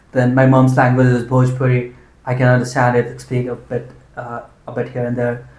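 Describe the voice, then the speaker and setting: With a medium pitch and a monotone, flat intonation, a man talks at a moderate pace over audible room echo. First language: Hindi. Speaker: interviewer, channel host. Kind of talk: casual interview conversation. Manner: hesitant, many fillers.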